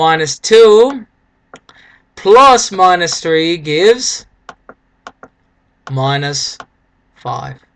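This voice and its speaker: A man's high-pitched voice, upbeat in tone, with lively intonation. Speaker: math teacher. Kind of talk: recorded video lesson. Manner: casual, upbeat.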